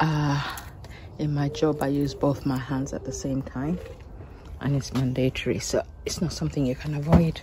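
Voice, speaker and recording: The woman's pitch is very deep and low, and she is soft-spoken. Her intonation stays monotone and flat. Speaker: home vegetable gardener vlogger. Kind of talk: casual vlog narration while harvesting. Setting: home garden, late evening. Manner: quiet, soft-spoken.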